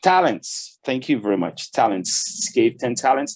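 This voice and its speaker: Lively intonation from a man with a Portuguese accent. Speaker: business owner giving a church talk. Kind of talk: church talk. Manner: halting.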